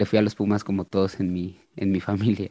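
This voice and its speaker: A man's fairly low, dark, mellow voice in a Mexican accent, with a dry, close sound, no echo, and a quiet background. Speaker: musician and retro football shirt collector. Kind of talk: casual chat.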